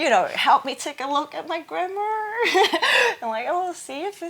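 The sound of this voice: Delivered at a moderate pace with a Hong Kong accent, this voice has a fairly bright tone and lively intonation. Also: woman, high pitch for a woman. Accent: Hong Kong Cantonese.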